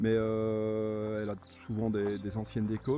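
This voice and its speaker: A man with a fairly low pitch speaks while music plays in the background. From Belgium. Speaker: car owner, amateur rally driver. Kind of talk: video presentation of own car. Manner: halting, many repetitions.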